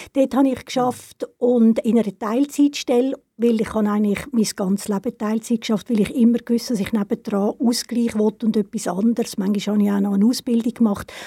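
Somewhat breathy, with a dark, mellow tone, a woman with a fairly high pitch talks at a fairly quick pace with hardly any pauses and fairly even intonation, in a dry, close sound with no echo. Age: 70s. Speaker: retired cultural organizer. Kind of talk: casual interview.

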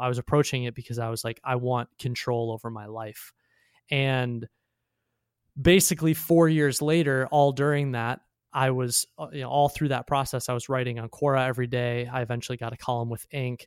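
This is a plain, everyday voice with an American accent, moving at a fairly quick pace with fairly even intonation. The sound is dry and close with no echo, and the recording is very clean against a silent background. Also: man. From Chicago area, US Midwest. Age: 20s. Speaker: writer and entrepreneur. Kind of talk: casual interview chat.

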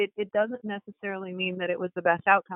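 In a plain, everyday voice, a woman speaks at a medium pitch with fairly even intonation. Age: 40s. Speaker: biotech company CEO. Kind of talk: interview.

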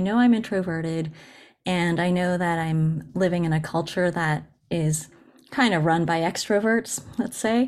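A woman with an American accent and a fairly low pitch, at a moderate pace with ordinary pitch variation, in a very clean recording with a silent background. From Japan-born, raised in the US. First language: Japanese. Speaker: poet and translator. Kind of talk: interview conversation.

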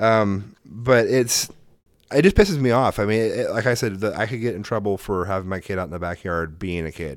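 An unremarkable speaking voice from a man, fairly low in pitch with ordinary variation, at a fairly quick pace on a very clean recording with a silent background. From Oregon, US. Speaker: podcast host. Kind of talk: casual chat.

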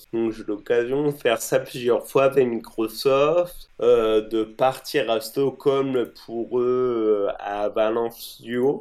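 A man speaks very slowly with hardly any pauses, at a medium pitch and with fairly even intonation. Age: 30s. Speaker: game accessibility and UX consultant. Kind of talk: interview.

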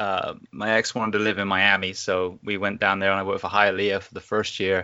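At a moderate pace, a man speaks with an English accent. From England. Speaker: firefighter and podcaster. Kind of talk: interview conversation. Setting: recording from home during isolation.

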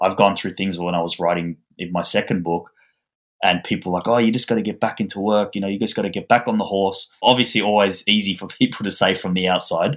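Talking very fast with an Australian accent, a man keeps a fairly low pitch and fairly even intonation on a very clean recording with a silent background. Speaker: author. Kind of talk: interview.

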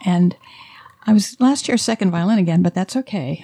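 A woman with an American accent speaks at a medium pitch, her voice somewhat breathy. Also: dry, close sound with no echo. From US South, Alabama. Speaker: fiddler for folk dances. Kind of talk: casual chat.

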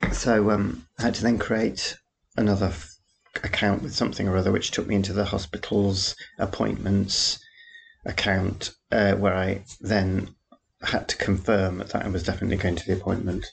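Speaking with an English accent, a man uses a fairly low pitch. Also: fairly even intonation, moderate pace. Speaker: podcaster. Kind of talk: casual chat. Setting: home. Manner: understated, rambling.

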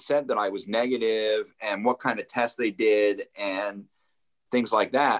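Recorded very cleanly against a silent background with a dry, close sound and no echo, a man with an ordinary speaking voice, medium pitch and an American accent talks at a moderate pace. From New Jersey, Ocean County shore. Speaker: radio producer. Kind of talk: casual chat. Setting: visiting Japan.

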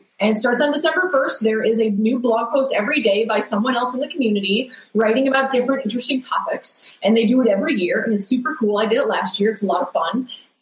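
A high-pitched woman with an American accent, very fast with hardly any pauses, very even loudness and ordinary pitch variation, against noticeable background noise. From upstate New York. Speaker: systems engineer. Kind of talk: casual chat.

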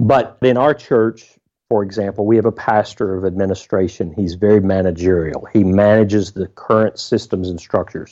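A man speaks at a moderate pace in a fairly low pitch. His tone is dark and mellow, and his intonation fairly even. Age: 50s. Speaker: pastor and author. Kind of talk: interview.

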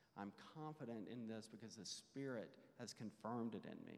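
At a moderate pace, a man talks in an unremarkable speaking voice of medium pitch. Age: 40s. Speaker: church class teacher. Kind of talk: Bible class teaching.

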